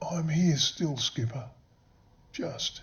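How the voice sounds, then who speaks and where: A put-on character voice sits at a middle pitch. It sounds raspy. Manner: slow, weak, labored.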